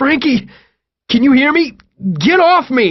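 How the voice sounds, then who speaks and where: This put-on character voice sits at a high pitch and moves at a moderate pace. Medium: read story. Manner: frantic.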